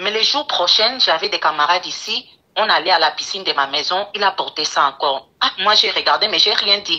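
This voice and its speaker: A woman's voice at medium pitch, lively in intonation, with a non-native accent. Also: moderate pace. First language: English (speaking French). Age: 20s. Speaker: caller. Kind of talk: phone-in call. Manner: halting.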